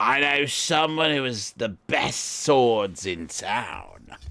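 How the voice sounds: Using a raspy, put-on character voice at a medium pitch, a man drags his words out at a very slow pace.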